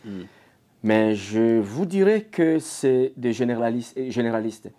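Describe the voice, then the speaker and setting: The background is quiet as a man speaks at a fairly slow pace. His voice has a dark, mellow tone. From DR Congo. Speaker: security company CEO. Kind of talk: interview. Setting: Toronto, on location. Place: home room. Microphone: lapel.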